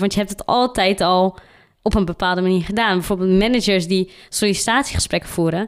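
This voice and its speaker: A woman with a plain, everyday voice speaks at medium pitch and a moderate pace, with ordinary pitch variation. The recording is very clean, with a silent background. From Netherlands, Randstad. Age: 20s. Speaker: diversity consultant. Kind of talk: interview.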